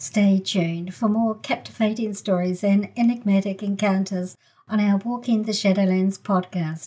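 In a New Zealand accent, the speaker talks at a moderate pace with fairly even intonation and a dark, mellow, somewhat breathy tone. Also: woman, medium pitch for a woman. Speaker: podcast host. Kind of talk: scripted intro narration.

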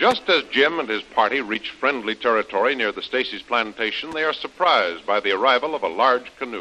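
A man speaks with a bright, sharp tone at a fairly quick pace. He hardly pauses at all. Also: medium pitch for a man, lively intonation. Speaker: radio announcer. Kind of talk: scripted announcer narration and ad read. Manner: formal, brisk, promotional.

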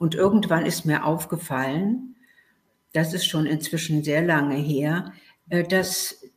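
A woman talks very slowly with long, frequent pauses and a fairly low, somewhat breathy voice. Her loudness is very even throughout. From Berlin, Germany. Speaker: author and journalist. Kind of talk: interview.

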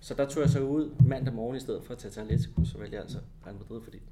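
Very fast delivery in a dark, mellow tone, with vocal fry throughout. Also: man. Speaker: former footballer and TV commentator. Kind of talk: casual interview.

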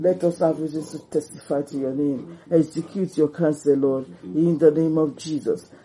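Hardly pausing at all, the speaker keeps to a moderate pace. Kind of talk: fervent prayer, leading worship with repeated thanksgiving and praying in tongues. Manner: fervent, rhythmic and repetitive, with urgent pleading and exclamations.

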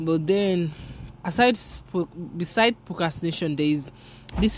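A woman speaks with a Yoruba accent. Her pitch varies in an ordinary way. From Nigeria. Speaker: podcaster. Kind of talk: casual solo monologue. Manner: casual, rambling.

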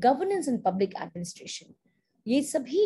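This woman's voice has a dark, mellow tone and swings very widely in pitch. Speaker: associate dean and webinar host. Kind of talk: online information webinar. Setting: video call.

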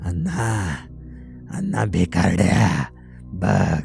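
Soft-spoken, a man performs a put-on character voice while clear music plays in the background. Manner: muttering softly, mocking.

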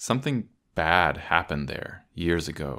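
A man's very deep, low voice with vocal fry and lively intonation, on a very clean recording with a silent background. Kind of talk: horror story narration. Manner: measured, suspenseful storytelling pace.

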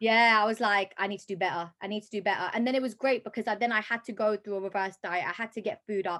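The speech races at a very fast pace with hardly any pauses, its tone bright and sharp, its intonation fairly even, and its loudness swinging widely. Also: woman, fairly high pitch for a woman, quiet background. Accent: London. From London. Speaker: personal trainer and fitness competitor. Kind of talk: casual interview chat.

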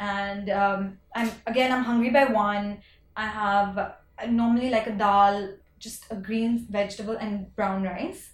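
Somewhat breathy, a woman with a medium pitch speaks at a fairly slow pace with fairly even intonation. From India. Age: 30s. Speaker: fashion entrepreneur. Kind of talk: casual interview chat.

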